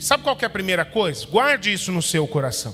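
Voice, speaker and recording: The man speaks with a high pitch. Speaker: pastor. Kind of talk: sermon. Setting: church. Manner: soft-spoken.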